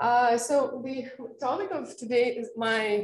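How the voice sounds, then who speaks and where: A woman speaks in a high-pitched voice. She has a Russian accent. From Russia, Caucasus region. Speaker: meteorologist and mountain guide. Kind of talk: seminar talk. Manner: halting, many fillers and restarts.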